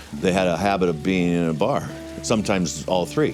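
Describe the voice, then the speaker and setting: Music plays in the background as a man with an American accent talks at a fairly quick pace, his very deep, low voice showing ordinary pitch variation. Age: 50s. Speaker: gardener and former bartender. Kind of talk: documentary interview. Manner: casual, with frequent fillers.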